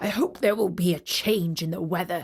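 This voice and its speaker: Gruff, growling put-on character voice from a woman, medium in pitch, at a moderate pace. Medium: read story. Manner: blunt, grumbling.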